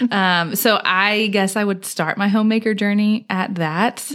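Noticeable background noise under a woman speaking at a moderate pace. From Houston, Texas. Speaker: homemaker and wellness educator. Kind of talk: casual chat.

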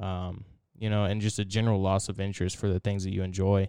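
In a monotone, flat delivery, a man speaks with a fairly low pitch and a dark, mellow tone. The recording is very clean and the background silent. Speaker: podcast co-host. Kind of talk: casual chat. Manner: halting, many fillers.

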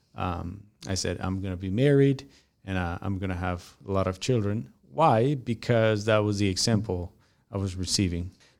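A man with a Spanish accent speaks at a fairly low pitch and a moderate pace, with ordinary pitch variation. The recording is very clean, with a silent background. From Mexico. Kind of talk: casual interview. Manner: halting, many fillers.

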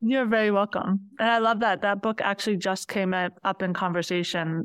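A woman with an ordinary speaking voice, fairly quick and fairly even in intonation, in a dry, close sound with no echo against a quiet background. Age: 40s. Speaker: quilter. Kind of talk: casual chat.

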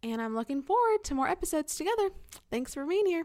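Her pitch swinging very widely, a woman talks with an American accent. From California. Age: 20s. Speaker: podcast host, Bible teacher. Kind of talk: casual faith talk monologue.

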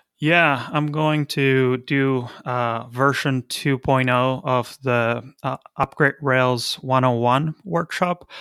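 A man with a Spanish accent and a bright, sharp tone, at a very slow pace, with fairly even intonation and very even loudness, in a dry, close sound with no echo and a very clean recording with a silent background. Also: medium pitch for a man. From Argentina, Buenos Aires. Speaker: software consultancy founder. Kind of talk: casual interview.

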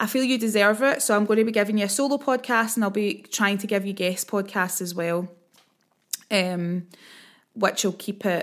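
The speaker has a Scottish accent and a moderate pace, with ordinary pitch variation. The recording is very clean, with a silent background. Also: woman. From Scotland. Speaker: empowerment coach and podcast host. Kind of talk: casual solo podcast monologue. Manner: hesitant, many filler words.

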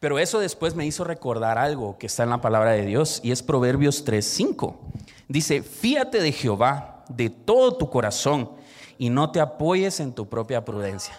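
A man with an unremarkable speaking voice and a fairly high pitch. He talks at a fairly slow pace with lively intonation. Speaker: church youth leader. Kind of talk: sermon-style talk.

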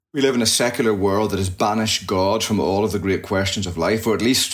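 A man with a Northern Irish accent talks very fast in a fairly low voice. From Northern Ireland, near Belfast. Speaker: pastor. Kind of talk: interview conversation.

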